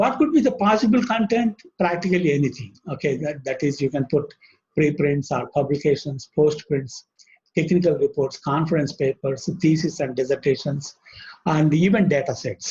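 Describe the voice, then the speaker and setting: With a South Asian accent, a man speaks fairly slowly at a fairly high pitch. His voice is somewhat breathy and his intonation lively. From Indian subcontinent. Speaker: webinar speaker on library software. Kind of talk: technical presentation. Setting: online webinar. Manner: halting with frequent fillers.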